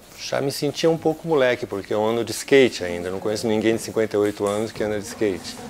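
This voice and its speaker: Against noticeable background noise, a man talks at a fairly quick pace. His pitch is fairly low, with ordinary variation. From Brazil, São Paulo. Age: 60s. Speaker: lute player, early music musician. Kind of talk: documentary interview. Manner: hesitant, with repetitions.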